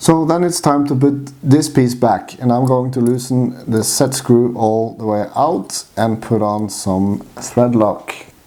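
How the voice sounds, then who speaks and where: A man with a strong Norwegian accent speaks at a very slow pace, at medium pitch with ordinary pitch variation. There is noticeable background noise. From Norway. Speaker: RC hobbyist. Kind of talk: how-to tutorial talk to camera.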